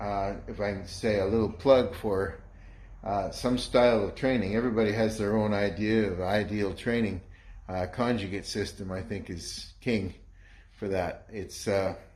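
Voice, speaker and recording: A man with a Canadian accent speaks in a fairly low pitch, somewhat breathy. His intonation is fairly even, and audible room echo surrounds him. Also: moderate pace. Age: 60s. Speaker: home gym owner, strength trainer. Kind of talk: casual video walkthrough. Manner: halting.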